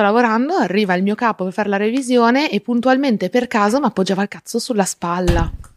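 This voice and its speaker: In a normal speaking voice, a woman talks with a fairly high pitch, and the sound is dry and close with no echo. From Friuli, north-east Italy. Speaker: advertising strategist, activist. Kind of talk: casual interview chat.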